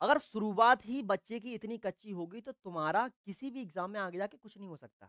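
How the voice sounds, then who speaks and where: A man with a high pitch talks at a moderate pace with hardly any pauses, an animated, bright, sharp tone, ordinary pitch variation and big swings in loudness, in a dry sound with no echo over a quiet background. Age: 20s. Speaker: online tutor. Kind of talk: live online class. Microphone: lapel.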